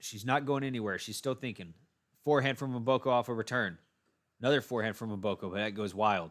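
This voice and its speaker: A man's animated voice at medium pitch, very fast pace, ordinary pitch variation. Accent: Texan. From Texas. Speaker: tennis commentator, live streamer. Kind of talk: live commentary.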